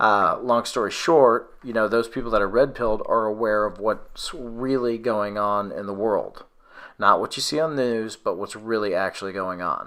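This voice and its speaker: A man speaks loudly at a medium pitch, with fairly even intonation and a bright, sharp tone. The recording is very clean, with a silent background. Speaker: conspiracy video host. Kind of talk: casual conversation.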